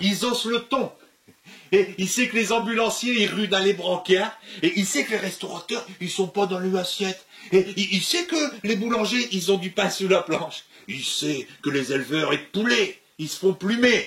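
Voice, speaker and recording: Lively intonation comes through at a fairly slow pace, over noticeable background noise. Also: man, high pitch for a man. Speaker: comedian. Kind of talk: comic sketch dialogue.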